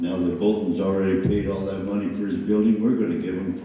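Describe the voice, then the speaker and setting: A man speaks in an animated tone with ordinary pitch variation, with audible room echo and noticeable background noise. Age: 70s. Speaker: mayoral candidate, former mayor. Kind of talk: candidate forum answers. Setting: public forum with audience. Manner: animated, folksy.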